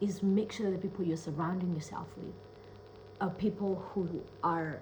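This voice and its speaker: Audible room echo surrounds a woman with a non-native accent. She speaks in a medium pitch at a fairly quick pace with an animated tone. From Kenya. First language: not English. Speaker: self-love coach and speaker. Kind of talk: casual vlog monologue.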